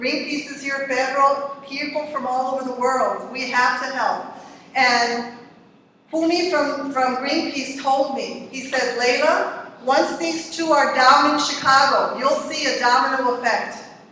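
In a raised, projected voice, a woman speaks at a high pitch, fairly slowly and with monotone, flat intonation, amid strong room echo and light background noise. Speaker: community activist; speaker. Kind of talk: testimony. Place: hall. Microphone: podium.

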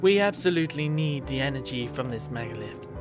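A put-on character voice at a low-to-middle pitch sounds strained and races at a very fast pace. Loud music and clear background noise fill the background. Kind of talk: reading game dialogue aloud. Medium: game stream. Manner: strained put-on voice. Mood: determined.

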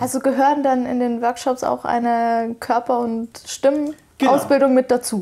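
A woman's high pitch with a dark, mellow tone, monotone, flat intonation and a moderate pace. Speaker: radio interviewer. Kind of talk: interview questions. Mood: friendly, curious. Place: studio. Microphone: lapel.

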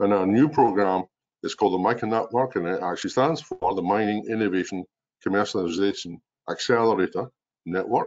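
A man speaks with a strong Scottish accent at a fairly quick pace. His pitch is fairly low. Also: ordinary pitch variation. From Scotland. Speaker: mining innovation executive. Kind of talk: webinar presentation. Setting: video call. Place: home room. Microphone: webcam.

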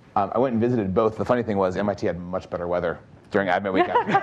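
A man with a very deep, low voice talks at a very fast pace with fairly even intonation. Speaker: startup founder, panelist; panelist. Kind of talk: panel discussion. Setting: stage with live audience. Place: stage.

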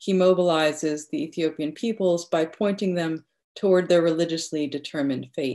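Her voice is fairly low for a woman, with a dark, mellow tone and fairly even intonation. She keeps a moderate pace over a quiet background. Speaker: literature professor. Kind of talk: academic paper presentation. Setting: video call. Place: home room. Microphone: video call.

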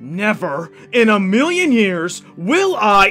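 A man's high, put-on character voice at a fairly slow pace, with faint music in the background. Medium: dub.

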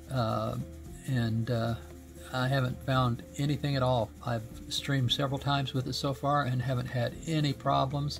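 A man at medium pitch and a moderate pace, with clear music in the background. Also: ordinary pitch variation, very even loudness. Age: 70s. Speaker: gaming streamer. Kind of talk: product review. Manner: halting, many fillers. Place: home room.

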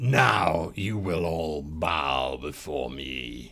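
A man's put-on character voice, raspy, with a very deep, low pitch and a very slow pace. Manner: commanding.

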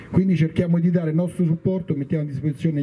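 This man's voice is fairly high in pitch. His intonation is fairly even throughout. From Rome; Italy. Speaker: football club representative. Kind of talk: speech to audience. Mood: warm, praising. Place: stadium. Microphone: handheld.

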